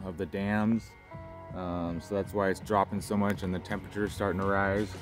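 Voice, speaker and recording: Clear music plays in the background of this dry recording with no echo. A man speaks at a fairly low pitch in a monotone, flat intonation. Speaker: fishing vlogger. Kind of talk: casual fishing report. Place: waterside. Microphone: phone near.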